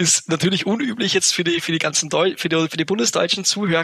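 A man with a fairly high pitch and ordinary pitch variation speaks in a dry, close sound with no echo. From Upper Austria. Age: 20s. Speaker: entrepreneur. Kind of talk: interview. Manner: hesitant, many fillers.

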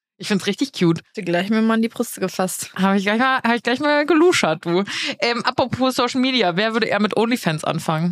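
A woman speaks at a fairly quick pace with lively intonation, her voice dry and close with no echo. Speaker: podcast co-host. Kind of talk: casual chat. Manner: same intonation for the opening line every time.

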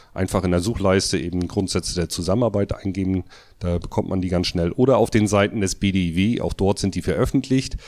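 The recording is very clean, with a silent background. A man with a very deep, low pitch speaks fairly quickly in fairly even intonation. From northern Germany, Mecklenburg coast. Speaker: electrical contractor and trade association official. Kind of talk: interview.

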